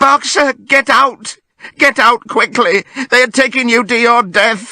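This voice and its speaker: A put-on character voice speaks at a fairly slow pace with a fairly high pitch. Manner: desperate, terrible cry.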